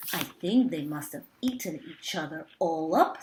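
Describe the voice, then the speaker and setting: A woman puts on a character voice. Her pitch sits fairly low. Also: moderate pace. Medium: read story.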